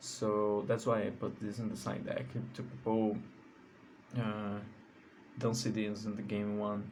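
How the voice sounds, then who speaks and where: In a Portuguese accent, a man talks at a fairly slow pace with a fairly low pitch, and the room echo is audible. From Brazil. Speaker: card game content creator. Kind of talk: deck profile tutorial. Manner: halting, with many fillers.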